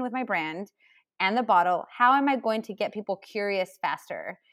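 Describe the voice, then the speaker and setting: A woman's fairly high voice, an unremarkable speaking voice at a moderate pace with ordinary pitch variation, on a very clean recording with a silent background. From California, US (born in Chile, moved very young). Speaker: spirits company founder. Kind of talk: interview.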